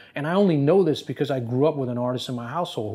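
Very fast and dark, mellow in tone, a man's voice carries an American accent and ordinary pitch variation. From New Jersey. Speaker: fashion industry expert; interview guest. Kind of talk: interview. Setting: on camera. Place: office.

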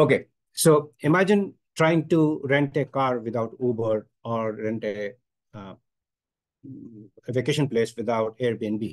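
A man speaks against a quiet background. His pitch rises and falls in an ordinary way. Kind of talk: workshop presentation. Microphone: video call.

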